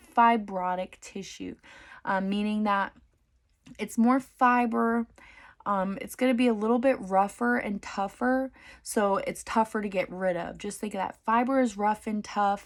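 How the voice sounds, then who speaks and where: On a very clean recording with a silent background, a woman with an ordinary speaking voice talks at a fairly slow pace and a fairly high pitch. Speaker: dental hygiene student. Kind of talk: study session tutorial.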